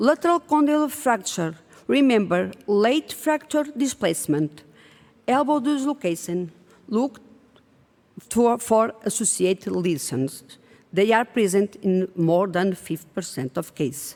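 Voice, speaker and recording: A woman with a non-native accent talks at a fairly slow pace. Her medium-pitched voice has very wide pitch swings. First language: not English. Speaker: pediatric orthopedic surgeon. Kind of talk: conference presentation.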